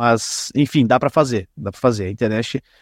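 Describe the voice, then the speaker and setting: A man with a normal speaking voice, medium pitch and ordinary pitch variation talks at a fairly quick pace, recorded very cleanly with a silent background and a dry, close sound with no echo. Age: 20s. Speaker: podcaster and local football league president. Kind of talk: casual interview chat.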